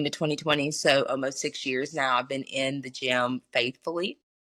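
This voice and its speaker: This woman speaks with a Southern US accent and a very deep, low pitch. Her intonation is fairly even and her pace moderate. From US South, Mississippi (Pontotoc). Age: 20s. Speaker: math teacher. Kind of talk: casual interview.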